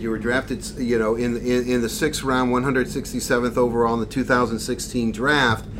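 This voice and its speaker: Noticeable background noise runs under the clip. A man talks at a medium pitch. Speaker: podcast host. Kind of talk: casual interview.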